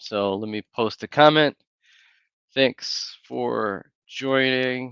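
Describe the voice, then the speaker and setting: Soft-spoken and very slow, the voice carries an American accent with ordinary pitch variation. The recording is dry and close, without echo. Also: man. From Wisconsin, US Midwest (Green Bay). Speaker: YouTuber. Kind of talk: casual livestream chat. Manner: softly spoken.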